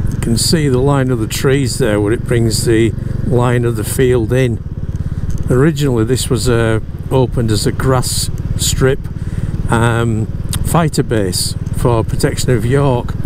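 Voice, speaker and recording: The speech moves at a fairly slow pace with long, frequent pauses. The sound is dry with no echo, and there is noticeable background noise. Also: man. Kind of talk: casual moto-vlog commentary. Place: motorbike. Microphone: helmet.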